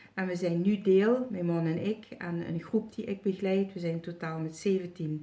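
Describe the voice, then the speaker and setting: At a very slow pace, the dark, mellow tone holds fairly even intonation. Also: woman. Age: 60s. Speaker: retired healer and psychic. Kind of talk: testimonial video review. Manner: halting, many filler sounds.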